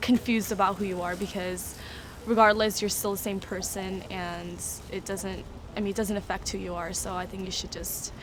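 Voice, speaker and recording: A woman's medium-pitched voice with a Korean accent, monotone, flat intonation and a moderate pace, with audible room echo and noticeable background noise. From South Korea. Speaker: interviewee. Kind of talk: interview.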